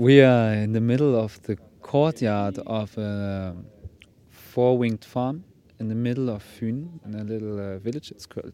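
The voice has a dark, mellow tone with a German accent. Its pitch varies in an ordinary way. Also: man. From Germany. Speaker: music project leader. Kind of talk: interview. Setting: outdoors. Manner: halting.

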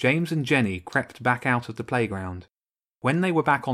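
The reading aloud is plain, and the background is quiet.

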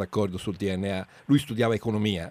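A man with an unremarkable speaking voice talks fairly quickly at a fairly low pitch. The recording is very clean, with a silent background. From Italy, Florence. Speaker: radio host. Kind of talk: casual chat.

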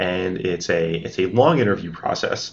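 Speaking in a New Jersey accent, the man has a very deep, low pitch. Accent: American, New Jersey. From US, New Jersey. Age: 30s. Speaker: tech executive. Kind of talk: interview. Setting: office building.

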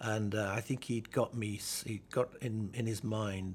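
A man with a fairly low, somewhat breathy voice speaks in a flat monotone. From northern England, Halifax, West Yorkshire. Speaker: neuroscience professor. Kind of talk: oral history interview.

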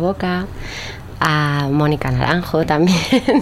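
A woman speaks with a very deep, low pitch and fairly even intonation. Noticeable background noise is present. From Spain. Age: 30s. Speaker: singer-songwriter. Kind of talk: casual interview.

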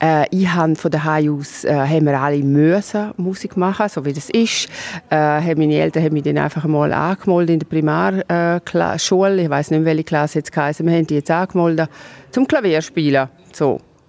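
A woman's very deep, low voice with ordinary pitch variation at a moderate pace, over noticeable background noise. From Switzerland, Graubünden. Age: 50s. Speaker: orchestra board president and lawyer. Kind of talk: interview. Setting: outdoors in castle courtyard.

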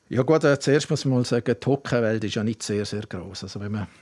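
A man's plain, everyday voice, medium in pitch with ordinary variation, comes through on a very clean recording against a silent background. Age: 60s. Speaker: former sports event director. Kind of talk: casual interview. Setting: studio.

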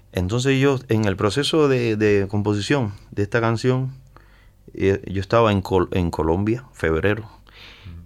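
A man with an unremarkable speaking voice talks at a fairly slow pace and fairly low pitch, with ordinary pitch variation. His loudness stays very even, and the recording is very clean with a silent background. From central Cuba. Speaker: musician. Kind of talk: interview.

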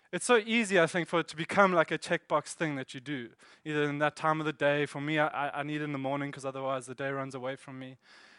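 Over a quiet background, a man with a South African accent talks at a very fast pace in a fairly high, bright, sharp voice with big swings in loudness. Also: ordinary pitch variation, dry, close sound with no echo. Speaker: church elder and preacher. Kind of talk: sermon. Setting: church.

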